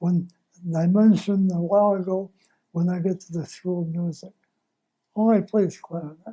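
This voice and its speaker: A man's voice, dark and mellow in tone, moves at a fairly slow pace with fairly even intonation. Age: 90s. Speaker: retired Navy musician. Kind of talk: interview.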